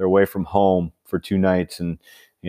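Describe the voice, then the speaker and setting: A man with an Upper Midwest accent and very deep, low pitch, dark and mellow in tone, at a fairly quick pace in monotone, flat intonation, with a dry, close sound with no echo in a very clean recording against a silent background. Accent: Upper Midwest (Minnesota). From Minnesota, small river town in the southeast. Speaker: high school football coach and author. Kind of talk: interview.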